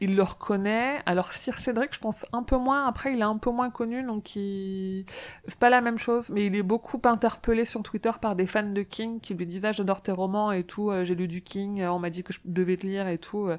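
A woman with a medium pitch uses a normal speaking voice at a moderate pace, with fairly even intonation and hardly any pauses. The recording is very clean, with a silent background. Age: 30s. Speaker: fan club organizer. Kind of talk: casual chat.

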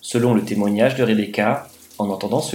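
A normal speaking voice from a man, moderate in pace and medium in pitch. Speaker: guest. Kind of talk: true-crime narration, read out.

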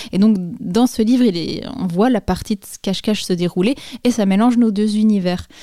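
A woman speaks with a dark, mellow tone and a medium pitch. Her intonation is fairly even, in a dry, close sound with no echo. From France, Jura (Dole). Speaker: comics author and illustrator. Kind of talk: interview. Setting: home studio (her bedroom). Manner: hesitant, many repetitions.

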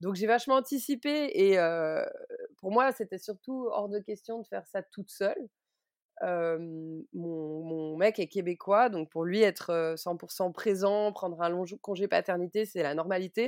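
Speaking very slowly with lively intonation, a woman at medium pitch comes through in a dry, close sound with no echo. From Switzerland. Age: 30s. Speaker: book publisher and mother. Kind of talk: personal testimony interview.

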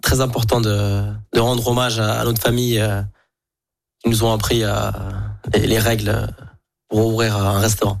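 A man with a fairly low pitch speaks in a monotone, flat way at very even loudness, leaving long, frequent pauses. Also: moderate pace. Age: 20s. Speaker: chef and restaurant owner. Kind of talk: radio interview.

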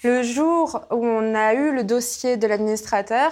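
A woman's ordinary speaking voice, fairly high in pitch with ordinary pitch variation, at a fairly slow pace in a very clean recording with a silent background. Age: 20s. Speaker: entrepreneur, company president. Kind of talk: interview.

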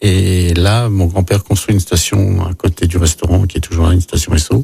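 A man's very deep, low voice, dark, mellow and somewhat breathy, at a fairly slow pace with ordinary pitch variation, dry and close with no echo. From France, Lyon. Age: 50s. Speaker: chef and mayoral candidate. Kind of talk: radio interview.

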